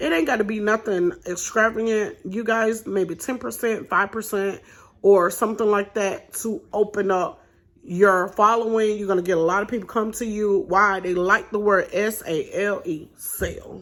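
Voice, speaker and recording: A woman with a medium pitch speaks in an animated tone on a very clean recording with a silent background. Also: ordinary pitch variation, moderate pace. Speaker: vlogger and small business owner. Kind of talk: tutorial.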